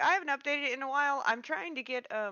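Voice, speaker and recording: A woman speaks very fast in a Kansas accent. Her pitch sits high. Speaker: streamer and tabletop game player. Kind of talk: casual chat. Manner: halting, many fillers.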